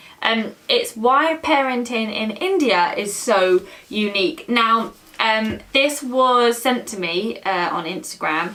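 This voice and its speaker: Over noticeable background noise, a woman speaks very slowly at a fairly high pitch with lively intonation. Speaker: reaction channel co-host. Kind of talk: casual chat. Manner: loud.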